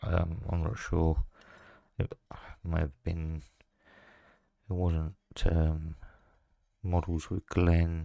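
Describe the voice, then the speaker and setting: In a dry recording with no echo and a quiet background, a man with a very deep, low pitch and a dark, mellow tone speaks very slowly in a monotone, flat way, with long, frequent pauses. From England. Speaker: scale model builder. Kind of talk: hobby tutorial video. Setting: at a hobby desk. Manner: casual with frequent hesitations. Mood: relaxed, a bit unsure. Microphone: phone near.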